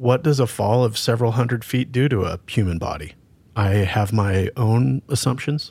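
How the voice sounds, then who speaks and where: Somewhat breathy male voice at medium pitch, lively intonation, moderate pace. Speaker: podcast co-host, law enforcement. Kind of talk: casual interview.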